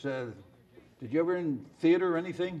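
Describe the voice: A man's fairly high voice with ordinary pitch variation. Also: fairly quick pace, slightly mellow tone.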